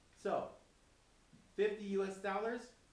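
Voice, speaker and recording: Talking at an average speed, a man is heard amid clear background noise and noticeable reverberation from the room. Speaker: forex trading instructor. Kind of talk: tutorial.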